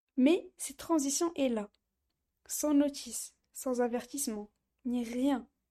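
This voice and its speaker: The recording is very clean, with a silent background. A woman speaks at a very slow pace at a high pitch, her tone dark and mellow and her pitch variation ordinary. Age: 20s. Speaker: podcast host, student. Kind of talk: casual monologue.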